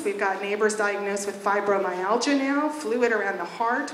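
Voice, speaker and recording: Noticeable background noise and audible room echo surround the voice. Its pitch varies in an ordinary way. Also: woman. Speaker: resident giving public testimony. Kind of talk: testimony.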